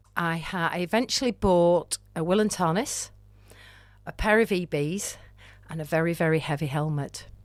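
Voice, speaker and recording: In a Lancashire accent, a woman talks at a moderate pace with a fairly low pitch and ordinary pitch variation. The recording is very clean, with a silent background. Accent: northern English (Lancashire). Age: 60s. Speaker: amateur climber. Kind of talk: interview podcast. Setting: podcast studio. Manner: animated.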